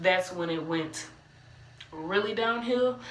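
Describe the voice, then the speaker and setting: A woman with an American accent speaks at a fairly slow pace with ordinary pitch variation. Audible room echo and noticeable background noise fill the recording. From Cleveland, Ohio (US Midwest). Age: 20s. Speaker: aspiring motivational speaker, vlogger. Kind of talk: personal testimony monologue. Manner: casual, conversational with fillers.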